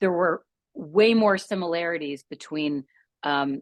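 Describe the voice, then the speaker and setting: A woman's voice with ordinary pitch variation, dry and close with no echo, against a quiet background. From Canada. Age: 50s. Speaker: midlife resilience coach. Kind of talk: podcast interview. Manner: hesitant, many fillers.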